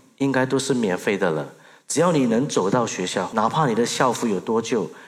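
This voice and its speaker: Vocal fry runs through this man's medium-pitched voice, which comes with a Burmese accent. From Myanmar, raised in Singapore from age 8. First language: Burmese (speaking Chinese). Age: 30s. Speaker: social entrepreneur. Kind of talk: stage talk. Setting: stage with audience.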